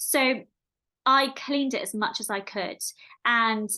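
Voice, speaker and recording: Over a quiet background, a woman speaks in a high pitch with a bright, sharp tone and ordinary pitch variation. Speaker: podcast host and meditation creator. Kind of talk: casual monologue podcast. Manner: fast.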